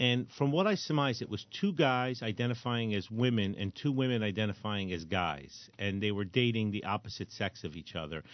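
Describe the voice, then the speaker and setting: In a plain, everyday voice with an American accent, the speaker moves at a fairly quick pace with hardly any pauses and lively intonation. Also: man, fairly low pitch for a man. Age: 60s. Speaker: firearms trainer and radio host. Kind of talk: casual chat.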